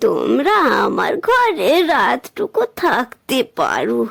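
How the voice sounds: In a cartoonish character voice, a woman with a fairly high pitch, vocal fry and a slightly husky edge talks at a slow pace with very wide pitch swings.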